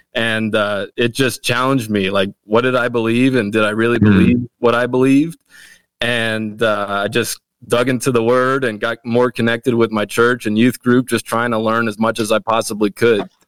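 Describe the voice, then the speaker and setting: In a dry, close sound with no echo, a man speaks with an American accent. His delivery is monotone and flat, at a moderate pace. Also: medium pitch for a man. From Wilmington, Delaware, US. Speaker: pastor. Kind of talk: casual chat.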